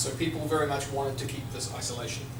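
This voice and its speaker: Over noticeable background noise and audible room echo, a man speaks at a very fast pace with ordinary pitch variation. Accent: New Zealand. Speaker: tech company speaker. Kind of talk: lecture. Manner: loud.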